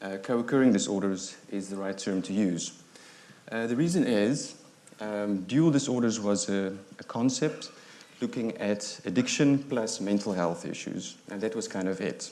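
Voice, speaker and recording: With a South African accent, a man talks at a moderate pace in a fairly low, dark, mellow voice with ordinary pitch variation, and audible room echo surrounds him. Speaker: psychiatrist. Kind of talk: lecture. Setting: stage with audience. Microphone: too quiet at first, volume adjusted.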